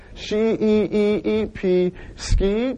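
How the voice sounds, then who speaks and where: Someone does a put-on character voice at a fairly high pitch over light background noise. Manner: comic, dragged out syllables.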